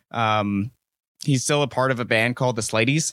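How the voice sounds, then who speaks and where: A man talks in a normal speaking voice at a moderate pace, medium in pitch with ordinary pitch variation. The recording is very clean with a silent background and a dry, close sound with no echo. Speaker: podcast host and band member. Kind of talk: casual chat.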